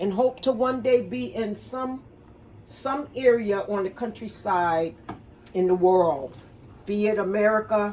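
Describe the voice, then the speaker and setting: A woman's lively intonation at a fairly slow pace. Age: 60s. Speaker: cooking and wellness vlogger. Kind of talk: casual kitchen demonstration. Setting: home kitchen. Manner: rambling, conversational.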